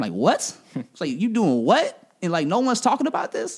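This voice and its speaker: A man speaking at a very fast pace. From Kansas City, Missouri. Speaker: radio personality. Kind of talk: casual chat.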